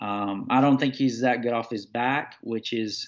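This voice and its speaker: Against a quiet background, a man talks at a moderate pace and medium pitch in a monotone, flat way. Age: 30s. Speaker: mixed martial arts fighter. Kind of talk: interview. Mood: relaxed, friendly. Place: home room. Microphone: webcam.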